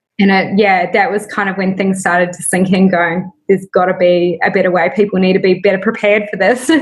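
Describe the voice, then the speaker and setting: A woman's medium-pitched, somewhat breathy voice with a New Zealand accent, fairly quick with hardly any pauses, in a flat monotone. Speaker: small business founder. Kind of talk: casual interview. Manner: hesitant fillers.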